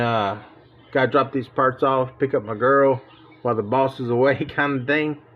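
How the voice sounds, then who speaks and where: A man talks at a medium pitch. Behind him, music plays. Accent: American. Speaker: diecast car hobbyist YouTuber. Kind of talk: casual vlog talk to camera. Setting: outdoors. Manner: animated, folksy.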